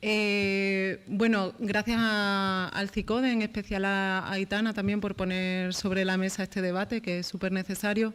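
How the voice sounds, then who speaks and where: Soft-spoken and at medium pitch, a woman talks at a fairly slow pace with hardly any pauses and monotone, flat intonation. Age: 30s. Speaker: journalist and panel speaker. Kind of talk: round-table talk. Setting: panel with live audience. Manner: halting, many repetitions.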